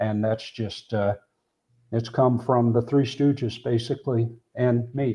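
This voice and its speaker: Over a quiet background, a man speaks at a medium pitch in a dark, mellow, somewhat breathy voice with monotone, flat intonation. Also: fairly slow pace. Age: 60s. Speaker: board game streamer. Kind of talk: casual chat.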